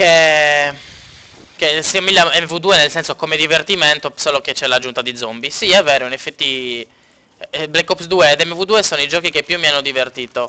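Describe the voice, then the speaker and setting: A man at a fairly quick pace, fairly high in pitch, with ordinary pitch variation. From Sardinia, Cagliari. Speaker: video game streamer. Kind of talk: live gameplay stream chat. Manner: casual, halting with fillers.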